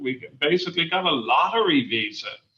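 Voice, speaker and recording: An Irish accent marks this man, who talks at a moderate pace. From Ireland, Dublin. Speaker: university chancellor and psychiatrist. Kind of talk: interview.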